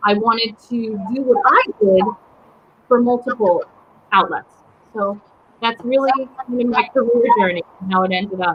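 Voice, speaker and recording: A woman with a fairly high voice speaks at a moderate pace with ordinary pitch variation and long, frequent pauses over noticeable background noise. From US, Polish immigrant family. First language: Polish. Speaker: writer and small business owner. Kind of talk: interview conversation.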